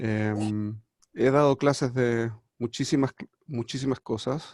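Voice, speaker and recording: Speaking very slowly in a Chilean accent, a man at medium pitch keeps a fairly even intonation in a dry, close sound with no echo. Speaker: rabbi and teacher. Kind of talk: lecture. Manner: hesitant, many fillers.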